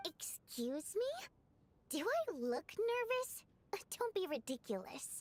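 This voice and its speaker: A woman uses a put-on character voice pitched extremely high, with very wide swings up and down. She talks at a fairly slow pace and leaves long, frequent pauses. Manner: defensive, denying nervousness.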